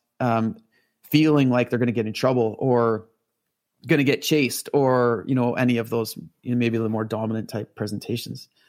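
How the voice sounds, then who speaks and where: Speaking at a moderate pace, a man with a Canadian accent uses a medium pitch and a monotone, flat intonation. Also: very clean recording, silent background. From Northern Ontario, Canada. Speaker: horse trainer. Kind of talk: interview conversation.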